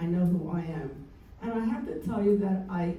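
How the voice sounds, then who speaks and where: A woman's speech, with ordinary pitch variation, carries audible room echo and noticeable background noise. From Cuba. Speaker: senior center attendee. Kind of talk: group discussion.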